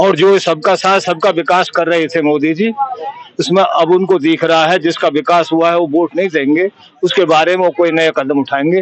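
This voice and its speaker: A high-pitched man speaks with very even loudness and fairly even intonation. Noticeable background noise runs underneath. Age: 70s. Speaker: village elder and local party worker. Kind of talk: street interview.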